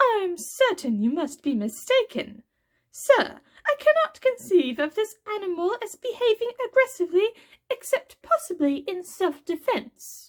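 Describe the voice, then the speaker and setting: Here a woman performs a put-on character voice, squeaky and extremely high in pitch. The pitch swings up and down very widely. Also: moderate pace. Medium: read story. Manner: genteel, controlled.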